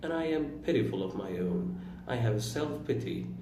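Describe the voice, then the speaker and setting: With an Iranian accent, a man talks at a fairly slow pace amid audible room echo and noticeable background noise. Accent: Iranian non-native English. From Iran, Turkic-speaking region. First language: Turkish. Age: 20s. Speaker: vlogger. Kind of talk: personal reflective monologue.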